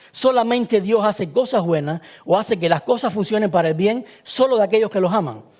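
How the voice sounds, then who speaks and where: This man, with a Cuban accent, has a high pitch, ordinary pitch variation and a fairly quick pace. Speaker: preacher. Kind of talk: sermon. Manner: fast.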